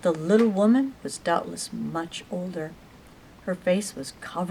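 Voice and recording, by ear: Pitch moves in an ordinary way here. The voice belongs to someone reading aloud in a natural voice.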